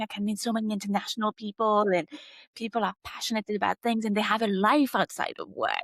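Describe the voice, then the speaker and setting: Speaking at a fairly quick pace, a woman has a plain, everyday voice at a fairly high pitch, recorded dry and close with no echo. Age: 30s. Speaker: marketing executive. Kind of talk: podcast interview.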